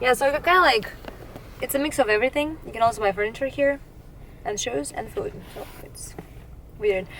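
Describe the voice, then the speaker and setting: Long, frequent pauses break up a woman's fairly quick speech at a high pitch with lively intonation. Her loudness swings widely over noticeable background noise. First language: Ukrainian or Russian. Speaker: volunteer aid helper. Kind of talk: casual chat. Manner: halting.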